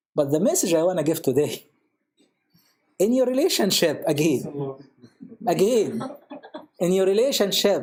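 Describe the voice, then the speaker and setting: A man talks in a high voice with an Arabic accent. His pitch swings very widely. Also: long, frequent pauses, very even loudness. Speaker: priest. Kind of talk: panel discussion. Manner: code-switching Arabic and English.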